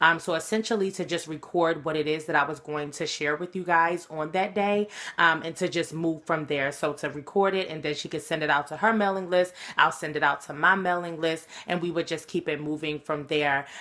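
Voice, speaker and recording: A woman's fairly low voice, bright and sharp in tone, with fairly even intonation at a fairly quick pace. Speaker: motivational speaker. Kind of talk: recorded webinar talk. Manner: casual, many filler ums.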